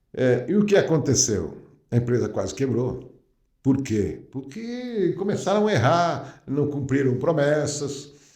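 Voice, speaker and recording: Amid audible room echo, a man with a fairly high pitch and a dark, mellow tone speaks at a fairly slow pace with lively intonation. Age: 60s. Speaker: company founder. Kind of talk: podcast interview. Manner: hesitant, many fillers.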